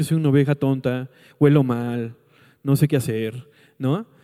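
On a very clean recording with a silent background, a man with a Mexican accent speaks in an animated tone. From Mexico, Colima. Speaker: pastor. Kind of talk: sermon.

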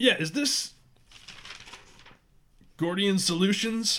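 A female-sounding voice puts on a gruff character voice at a medium pitch. The pace is fairly slow.

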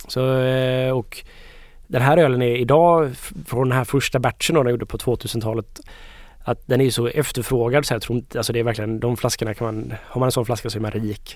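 In a very clean recording with a silent background, a man with a plain, everyday voice talks at a fairly quick pace with fairly even intonation. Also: medium pitch for a man. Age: 30s. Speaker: beer expert co-host. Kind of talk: casual chat.

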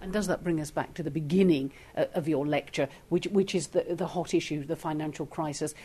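An ordinary speaking voice from a woman, fairly low in pitch, fairly quick, with fairly even intonation. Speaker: interviewer, podcast host. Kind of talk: interview.

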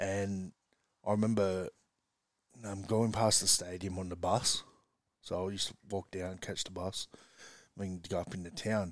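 A man's fairly low, monotone, flat voice at a moderate pace, with long, frequent pauses, in a very clean recording with a silent background. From Australia, western Sydney. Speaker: rugby league coach. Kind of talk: casual chat.

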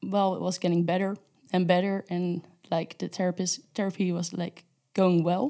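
In a Dutch accent, a woman speaks at a moderate pace and a medium pitch. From Netherlands. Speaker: intern sharing personal story. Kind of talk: testimony.

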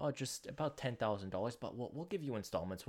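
A man with a medium-pitched voice speaks at a very fast pace with ordinary pitch variation, on a very clean recording with a silent background. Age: 20s. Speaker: student podcaster. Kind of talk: casual monologue. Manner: rambling.

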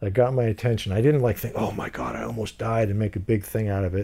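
Somewhat breathy and dark and mellow in tone, a man speaks at medium pitch and a fairly quick pace. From US (moved from Iran at age two). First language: Farsi. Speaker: actor. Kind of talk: casual chat. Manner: animated.

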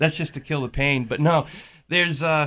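On a very clean recording with a silent background, a man with a fairly high pitch and a bright, sharp tone speaks at a moderate pace in fairly even intonation. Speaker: fisherman and seafood seller. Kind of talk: casual radio interview. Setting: radio studio.

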